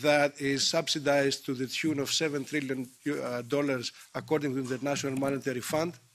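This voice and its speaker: A fairly high-pitched man with a Greek accent, moderate pace, and monotone, flat intonation. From Greece. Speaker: politician. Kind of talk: committee speech. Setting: parliamentary committee. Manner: halting, many fillers.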